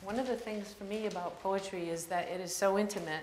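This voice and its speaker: There is audible room echo and noticeable background noise. Through it, a woman speaks with fairly even intonation. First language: French. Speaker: poet. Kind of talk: introduction before a poetry reading. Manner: halting, many fillers.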